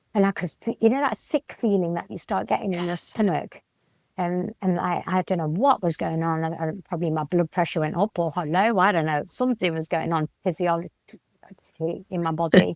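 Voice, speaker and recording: A woman with a British accent speaks at a fairly low pitch. The recording is very clean with a silent background and a dry, close sound with no echo. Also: ordinary pitch variation. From Britain. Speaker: Kundalini Shakti activation facilitator. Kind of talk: interview answer.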